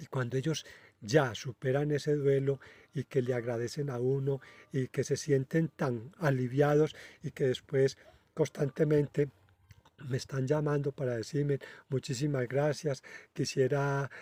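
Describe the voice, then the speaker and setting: In a dry, close sound with no echo, a man speaks at a fairly high pitch with a dark, mellow tone and monotone, flat intonation. His pace is fairly slow, with long, frequent pauses. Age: 60s. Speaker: spiritual medium, channel host. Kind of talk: casual monologue. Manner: halting, many filler hesitations.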